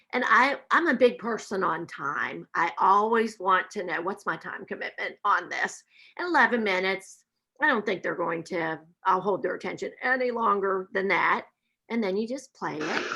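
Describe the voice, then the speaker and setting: With an Appalachian accent, a woman talks at a medium pitch in a bright, sharp tone with lively intonation. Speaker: math professor. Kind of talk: webinar presentation. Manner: slow.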